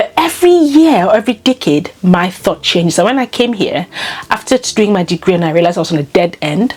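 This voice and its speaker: Amid noticeable background noise, a woman talks at a very fast pace, her pitch swinging very widely. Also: medium pitch for a woman. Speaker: lifestyle vlogger. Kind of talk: casual monologue.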